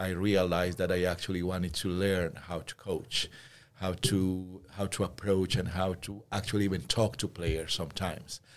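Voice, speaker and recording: In a Spanish accent, a man speaks at a moderate pace with a very deep, low pitch. The recording is very clean, with a silent background. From Peru. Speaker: school teacher and volleyball coach. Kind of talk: interview.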